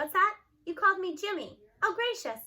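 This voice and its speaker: A woman puts on a squeaky character voice at an extremely high pitch. She speaks at a fairly quick pace. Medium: read story. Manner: folksy, homespun.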